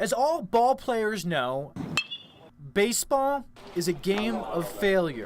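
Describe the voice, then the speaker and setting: A man with a high voice speaks very slowly, his pitch swinging very widely. He leaves long, frequent pauses over noticeable background noise. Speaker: sports anchor and reporter. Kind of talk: TV sports feature reporter narration.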